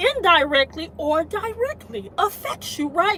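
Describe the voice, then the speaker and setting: Amid noticeable background noise, a woman with an extremely high pitch talks at a fairly slow pace in an animated tone with lively intonation. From Detroit, US Midwest. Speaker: YouTube commentator. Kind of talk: livestream commentary. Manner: animated, halting with fillers.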